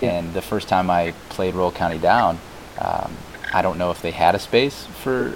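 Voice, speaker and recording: Man with an American accent, very deep, low pitch, moderate pace, noticeable background noise. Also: ordinary pitch variation. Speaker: podcast host. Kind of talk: interview, casual chat. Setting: remote recording with static.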